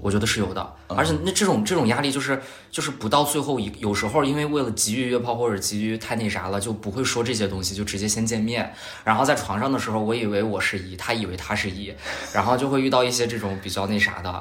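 A man's medium-pitched voice at a very fast pace, ordinary pitch variation, audible room echo and noticeable background noise. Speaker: podcast guest. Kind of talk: casual chat. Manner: soft-spoken.

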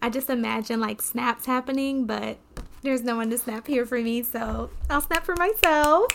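A woman with a high voice and ordinary pitch variation talks at a moderate pace while noticeable background noise plays. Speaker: podcast host and poet. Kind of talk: casual chat with poetry reading.

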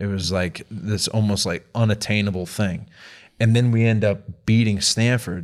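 A man with an American accent has an unremarkable speaking voice, fairly low in pitch, at a moderate pace. The recording is very clean, with a silent background. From Massachusetts (Lynn, near Boston). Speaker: professional baseball pitcher. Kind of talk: casual chat.

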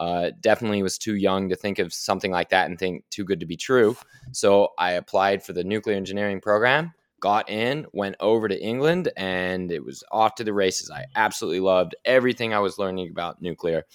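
Speaking at a fairly quick pace, a man has an unremarkable speaking voice pitched fairly low, with ordinary pitch variation. The sound is dry and close, with no echo. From Oklahoma City, Oklahoma. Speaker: nuclear energy advocate. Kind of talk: interview.

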